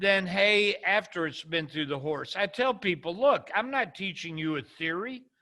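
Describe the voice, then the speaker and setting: On a very clean recording with a silent background, a man uses a raised, projected voice with a bright, sharp tone and lively intonation at a fairly slow pace. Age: 70s. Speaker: entrepreneur and business mentor. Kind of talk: interview conversation. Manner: repetitive false starts.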